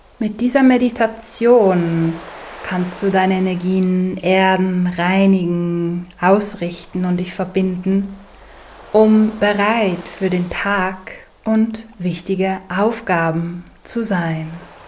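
Through noticeable background noise, a woman speaks at a medium pitch and a very slow pace. Her tone is calm and soothing, and her intonation is fairly even. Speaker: meditation guide. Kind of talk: guided meditation. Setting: studio, with soft ocean wave sounds in the background. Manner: slow, calm, soothing, gentle pacing with long pauses; soft-spoken, warm, inviting.

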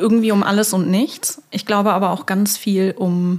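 This woman talks at a moderate pace. Her voice is somewhat breathy. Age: 30s. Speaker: podcast co-host. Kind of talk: casual chat.

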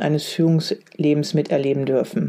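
This woman's voice has a dark, mellow tone and fairly even intonation.

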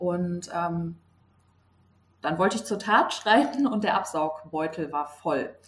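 With noticeable background noise behind her, a woman speaks at a very slow pace and a fairly low pitch, using long, frequent pauses and ordinary pitch variation. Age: 20s. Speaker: nurse. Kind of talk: interview.

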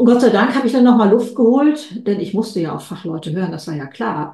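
The speaker moves at a fairly quick pace with lively intonation. Audible room echo and noticeable background noise surround the voice. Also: woman. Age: 70s. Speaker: author and keynote speaker. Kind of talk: interview. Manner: energetic.

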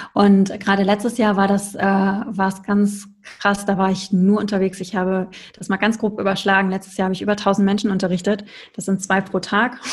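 Somewhat breathy, a woman talks at a fairly quick pace. Her intonation stays monotone and flat. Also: medium pitch for a woman. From Ruhr area, Germany. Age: 40s. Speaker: tantra yoga teacher. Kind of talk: interview.

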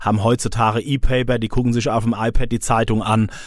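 The speaker has a strong southern Hessian accent. Delivery comes at a moderate pace with fairly even intonation. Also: man. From Odenwald, southern Hesse. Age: 50s. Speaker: police press spokesman. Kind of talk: interview.

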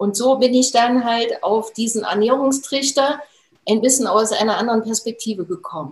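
Her voice is an ordinary speaking voice, fairly high for a woman. She goes at a moderate pace with ordinary pitch variation. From Thuringia, Germany (Jena). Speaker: nutrition expert and trainer. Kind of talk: interview.

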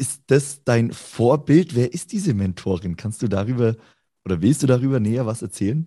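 Over a quiet background, a man with a dark, mellow tone and medium pitch speaks at a moderate pace with lively intonation. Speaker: co-host. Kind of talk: interview.

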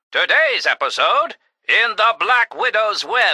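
Heard in a dry, close sound with no echo, a man speaks at a fairly slow pace. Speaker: voice actor. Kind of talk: dramatic narration, comic radio-serial adventure parody. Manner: theatrical, over-the-top, posh-sounding adventurer voice, with a gruff sidekick voice.

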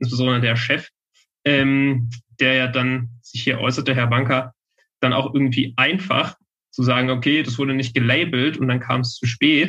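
Here a man talks at medium pitch. It is a normal speaking voice. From western Saxony, Germany. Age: 20s. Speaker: legal researcher. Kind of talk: interview.

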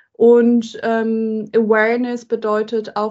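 Her voice sits fairly high, as a woman's voice goes. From Germany. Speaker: tech entrepreneur and diversity advocate. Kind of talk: interview conversation. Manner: frequent filler hesitations.

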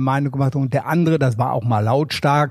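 A man's somewhat breathy voice, fairly high in pitch. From Ruhr area, Germany (Wanne-Eickel). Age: 70s. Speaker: former tennis tournament press officer. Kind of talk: casual interview.

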